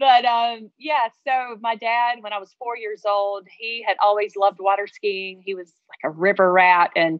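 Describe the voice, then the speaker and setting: Woman with a slight Southern US accent, medium pitch, ordinary pitch variation and a moderate pace. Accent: slight Southern twang. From North Carolina. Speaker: former champion water skier and motivational speaker. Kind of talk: interview.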